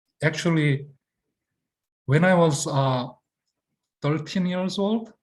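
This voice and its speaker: In a non-native accent, a man speaks at a very slow pace in a somewhat breathy voice with lively intonation. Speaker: acting teacher. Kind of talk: lecture. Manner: halting.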